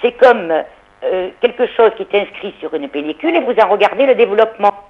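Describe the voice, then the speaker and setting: Over noticeable background noise, a woman speaks fairly quickly in a fairly high pitch with lively intonation. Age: 60s. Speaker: caller. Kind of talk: phone-in call.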